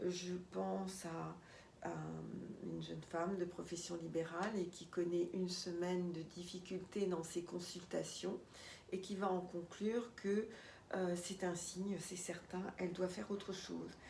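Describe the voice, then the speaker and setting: Heard with audible room echo, a woman talks at a fairly slow pace and fairly low pitch in a monotone, flat intonation. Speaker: life coach. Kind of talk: talk to camera with guided EFT tapping. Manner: hesitant, many filler sounds.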